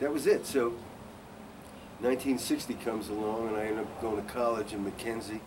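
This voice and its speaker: A fairly quick but monotone, flat delivery in an American accent, broken by long, frequent pauses, with audible room echo and noticeable background noise. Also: man, medium pitch for a man. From New York City. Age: 70s. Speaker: singer-songwriter. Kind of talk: interview.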